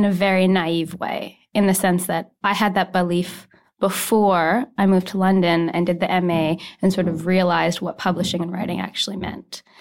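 A woman with an unremarkable speaking voice at a medium pitch, a moderate pace, and a very clean recording with a silent background. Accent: Canadian. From Canada (Saskatoon, Saskatchewan). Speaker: debut novelist. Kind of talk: casual chat. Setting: studio.

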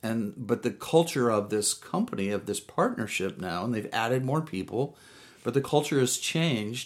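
At a moderate pace and medium pitch, a man with a plain, everyday voice speaks with lively intonation. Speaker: business consultant. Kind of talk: casual interview.

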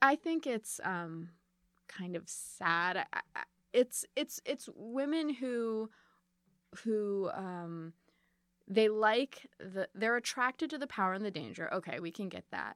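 In a very clean recording with a silent background, a woman with an American accent speaks at a fairly high pitch, at a very slow pace, with lively intonation and long, frequent pauses. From Chicago suburbs. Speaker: author and podcaster. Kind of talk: interview. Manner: halting.

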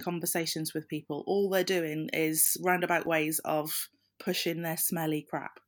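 A woman's fairly low voice in a Welsh accent at a moderate pace, on a very clean recording with a silent background. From South Wales. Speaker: social media consultant. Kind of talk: debate.

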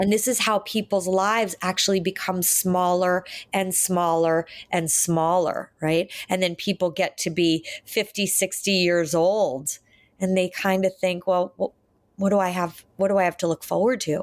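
On a very clean recording with a silent background, a woman has an ordinary speaking voice at a medium pitch, with fairly even intonation, very even loudness, and a fairly slow pace. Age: 50s. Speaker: psychotherapist. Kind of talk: interview.

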